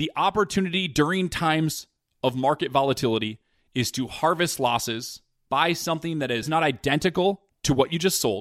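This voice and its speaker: Fairly quick and lively in intonation, a man with a plain, everyday voice and fairly high pitch is heard in a dry, close sound with no echo. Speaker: financial podcast host. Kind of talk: scripted podcast monologue and interview.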